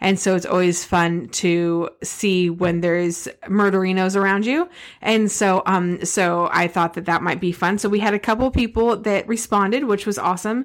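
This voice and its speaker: A woman has a normal speaking voice at a medium pitch, with ordinary pitch variation, very even loudness and a moderate pace. The recording is very clean, with a silent background. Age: 40s. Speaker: podcast co-host. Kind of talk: casual chat.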